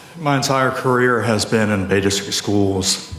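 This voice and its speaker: A man speaks with fairly even intonation. There is audible room echo and noticeable background noise. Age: 50s. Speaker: school board candidate. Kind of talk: debate closing statement.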